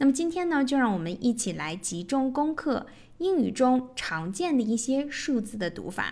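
A woman in a Chinese accent talks at a high pitch and moderate pace, her pitch swinging very widely. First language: Mandarin Chinese. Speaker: English teacher, podcast host. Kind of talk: tutorial.

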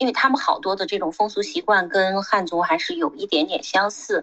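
At a moderate pace, a woman talks with very wide pitch swings. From Xinjiang. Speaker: retired MBA program manager and magazine editor. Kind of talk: casual chat.

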